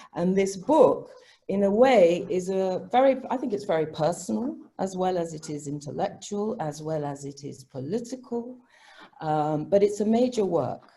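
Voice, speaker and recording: A woman's somewhat breathy voice, dark and mellow, at a medium pitch and moderate pace, with very wide pitch swings. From Africa. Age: 60s. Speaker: professor. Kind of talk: academic panel discussion.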